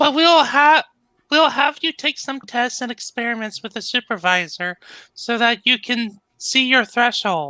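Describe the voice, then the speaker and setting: A man's put-on character voice at an extremely high pitch, moderate in pace, on a very clean recording with a silent background. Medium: read story. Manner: warm and supportive.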